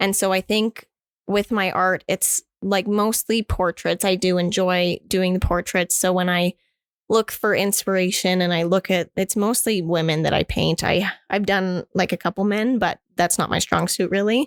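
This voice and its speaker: On a very clean recording with a silent background, a woman with a plain, everyday voice talks at a moderate pace with fairly even intonation and a dry, close sound with no echo. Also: medium pitch for a woman, very even loudness. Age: 20s. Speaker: artist. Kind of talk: interview answer. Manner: casual.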